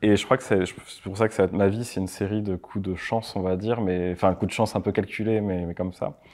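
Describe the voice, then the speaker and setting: A man at a fairly low pitch and fairly quick pace, with fairly even intonation, over a quiet background. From France, Landes (Mont-de-Marsan); Landes, France. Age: 30s. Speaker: motion designer and production company owner; interview guest. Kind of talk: interview; interview answer. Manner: casual, halting. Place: studio.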